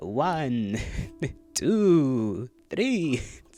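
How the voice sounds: A man's put-on character voice with faint music in the background. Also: medium pitch for a man.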